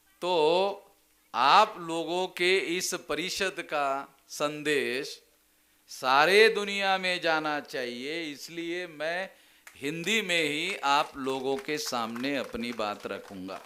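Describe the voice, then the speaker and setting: A man's fairly high voice, bright and sharp in tone, with lively intonation. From Maharashtra, India. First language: Marathi (speaking Hindi). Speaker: political activist speaker. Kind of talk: public speech. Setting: convention stage with audience. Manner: explanatory, didactic.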